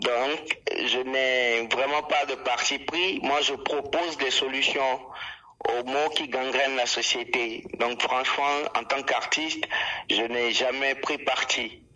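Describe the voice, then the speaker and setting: The pace is very slow and the intonation fairly even. Noticeable background noise sits behind the voice. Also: man, very even loudness. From Togo. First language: Ewe (speaking French). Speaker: rapper. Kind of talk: radio interview.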